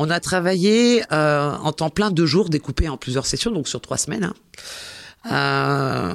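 In a very clean recording with a silent background, a woman with a very deep, low voice talks very slowly, her pitch swinging very widely. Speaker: SEO expert and digital marketing teacher. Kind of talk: interview. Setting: studio. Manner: hesitant.

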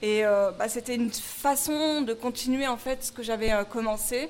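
With a high pitch, a woman talks in fairly even intonation. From Paris, France. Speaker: restaurant co-manager. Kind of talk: interview testimony.

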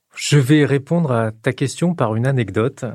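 In a very clean recording with a silent background, a man with a somewhat breathy, medium-pitched voice speaks at a fairly slow pace. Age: 50s. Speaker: science journalist. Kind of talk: explanatory interview.

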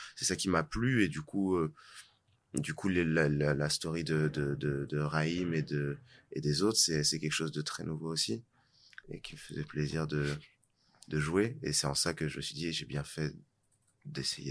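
At a fairly slow pace and with long, frequent pauses, a man speaks in a very deep, low voice with ordinary pitch variation. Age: 20s. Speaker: actor. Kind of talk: casual interview.

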